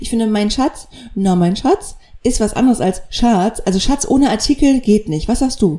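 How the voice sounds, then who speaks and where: Speaking at a moderate pace, a woman with a dark, mellow tone uses a fairly high pitch and very wide pitch swings. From northern Germany (near Kiel). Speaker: podcast co-host, radio journalist. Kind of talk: casual chat. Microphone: poorly set-up microphone.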